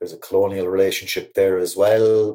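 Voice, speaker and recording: A man with a Cork accent. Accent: Cork Irish. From Ireland, Cork. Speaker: poet. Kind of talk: reflective interview talk. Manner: halting.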